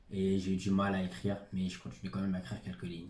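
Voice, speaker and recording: A somewhat breathy voice carries audible room echo. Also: man. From Senegal, then France from age ten. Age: 20s. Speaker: author. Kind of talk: interview. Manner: hesitant, many fillers.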